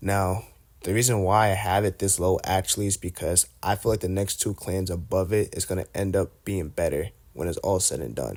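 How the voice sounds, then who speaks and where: In a relaxed tone and a very deep, low pitch, a man speaks at a moderate pace on a very clean recording with a silent background. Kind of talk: casual gaming commentary to camera. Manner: casual, relaxed.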